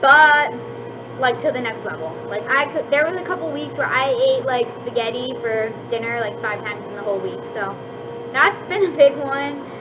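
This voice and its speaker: Woman at a moderate pace amid audible room echo and noticeable background noise. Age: 20s. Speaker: vlogger. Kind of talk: casual chat. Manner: casual, filler-heavy.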